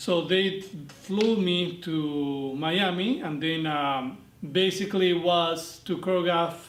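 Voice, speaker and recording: In a Spanish accent, a high-pitched man speaks with fairly even intonation amid audible room echo. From Argentina. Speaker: dance instructor. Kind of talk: interview monologue. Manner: hesitant, many fillers.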